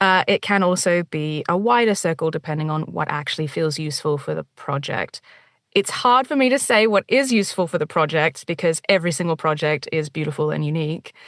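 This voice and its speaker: A woman with an ordinary speaking voice, fairly low in pitch, with lively intonation and a fairly quick pace, in a dry, close sound with no echo and a quiet background. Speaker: audiobook narrator and dialect coach. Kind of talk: interview answer.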